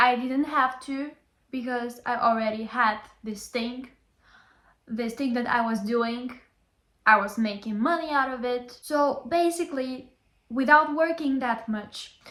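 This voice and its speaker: With a Bulgarian accent, a woman speaks fairly slowly in a high voice with a bright, sharp tone. Her pitch variation is ordinary, and she leaves long, frequent pauses. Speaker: language teacher. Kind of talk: motivational talk to camera.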